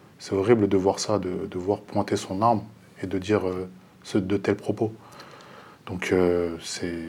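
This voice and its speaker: A man speaks in a monotone, flat intonation with long, frequent pauses. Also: fairly low pitch for a man, fairly slow pace. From Paris region. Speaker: bus driver. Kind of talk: TV panel discussion.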